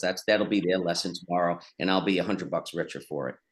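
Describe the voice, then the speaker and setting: The background is quiet. A man talks very fast at a fairly low pitch. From New York, Bronx. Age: 60s. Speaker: business executive and author. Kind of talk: casual interview.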